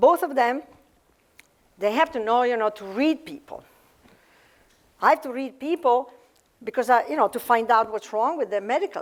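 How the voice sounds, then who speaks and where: With an Italian accent, a woman speaks in a high voice with lively intonation. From Italy. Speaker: author and cardiologist. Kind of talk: author talk. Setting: library event with audience. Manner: halting, many fillers.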